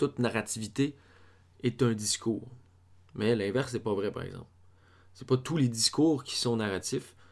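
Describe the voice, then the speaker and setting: A man in a Quebec accent talks at a moderate pace and medium pitch, with fairly even intonation, big swings in loudness and long, frequent pauses. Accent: Québécois French. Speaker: film theory podcaster. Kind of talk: lecture. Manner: halting. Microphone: far from the mic.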